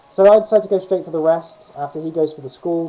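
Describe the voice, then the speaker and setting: This man's intonation stays fairly even, with noticeable background noise around him. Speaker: gaming YouTuber. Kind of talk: gameplay commentary. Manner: fast. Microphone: poor video quality, no capture card.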